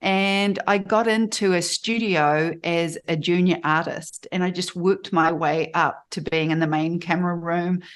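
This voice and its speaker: With a New Zealand accent, a woman talks at a fairly slow pace with hardly any pauses. Her pitch is fairly low, her intonation fairly even, and the background is quiet. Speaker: photographer and life coach. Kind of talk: interview.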